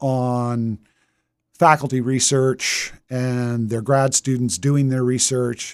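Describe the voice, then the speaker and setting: A man talks at a very slow pace in a medium pitch. The recording is very clean, with a silent background. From Delaware, Wilmington area. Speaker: college radio DJ. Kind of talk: interview.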